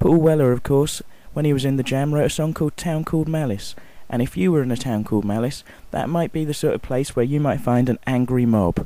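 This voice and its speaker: Fairly quick and dark, mellow in tone, a man's fairly high voice moves with ordinary pitch variation. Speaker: radio presenter. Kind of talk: radio show presenter link. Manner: humorous, chatty.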